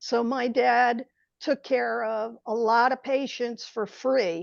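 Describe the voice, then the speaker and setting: Someone with an American accent speaks at a very slow pace with fairly even intonation, the sound dry and close with no echo against a quiet background. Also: woman, fairly high pitch for a woman. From New York City suburbs (Westchester). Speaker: attorney and author, adoptee. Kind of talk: interview, personal story.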